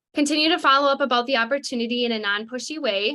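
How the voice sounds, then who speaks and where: A woman talks very fast at a high pitch. Her tone is bright and sharp. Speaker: network marketing team leader. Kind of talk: live webinar training. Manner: animated.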